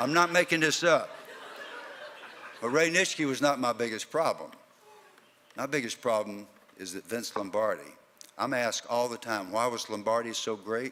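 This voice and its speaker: Speaking at a moderate pace with long, frequent pauses, a man with a Southern US accent uses a medium pitch and ordinary pitch variation over noticeable background noise. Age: 70s. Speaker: former football player and keynote speaker. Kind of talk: keynote speech.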